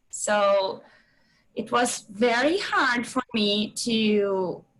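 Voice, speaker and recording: With a Portuguese accent, a woman speaks at a fairly high pitch using fairly even intonation. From Brazil. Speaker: PhD student. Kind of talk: casual testimony.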